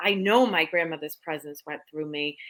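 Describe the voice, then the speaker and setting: On a very clean recording with a silent background, a woman's fairly low voice sounds bright and sharp. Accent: American. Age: 50s. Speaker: psychic medium. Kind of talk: interview storytelling. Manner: animated.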